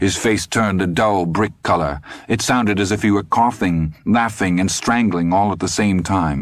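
Ordinary pitch variation in plain reading aloud

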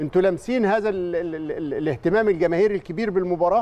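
A man speaks high in pitch, his pitch varying in an ordinary way. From Egypt. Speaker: sports TV show co-host. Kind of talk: studio sports talk show. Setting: TV studio. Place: studio. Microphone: lapel.

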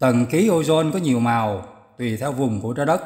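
The speaker is a man. His pitch shows ordinary variation. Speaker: reader of the abbot's answers. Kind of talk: reading aloud.

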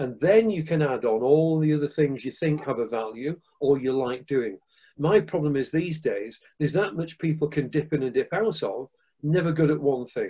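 A man with a Manchester accent talks at a moderate pace in a dark, mellow, somewhat breathy tone with ordinary pitch variation. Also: quiet background. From northern England, Manchester. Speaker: martial arts instructor and security expert; martial arts instructor. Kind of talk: interview. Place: home room. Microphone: video call.

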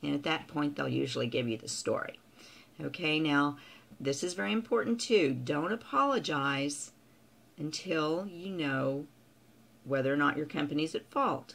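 Her pitch is very deep and low for a woman. She speaks at a moderate pace with lively intonation. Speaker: customer service trainer. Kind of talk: tutorial. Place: home room. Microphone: webcam.

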